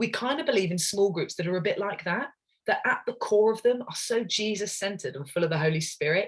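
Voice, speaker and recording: With an English accent, a woman speaks fairly quickly in a somewhat breathy voice with lively intonation. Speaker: ministry leader. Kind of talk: webinar presentation. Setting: online webinar. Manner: fast.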